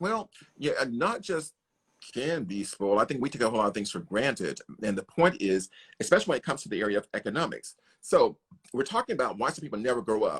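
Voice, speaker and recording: A man talks at a very fast pace in a fairly high pitch, with very wide pitch swings. The sound is dry and close with no echo against a quiet background. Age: 60s. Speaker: foundation president and livestream host. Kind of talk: casual chat. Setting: livestream.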